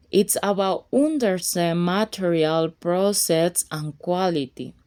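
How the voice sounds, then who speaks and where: In a Colombian accent, a woman speaks at medium pitch with a dark, mellow tone on a very clean recording with a silent background. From Colombia (Buenaventura). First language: Spanish. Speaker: fashion design and sewing teacher. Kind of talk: casual tutorial talk to camera.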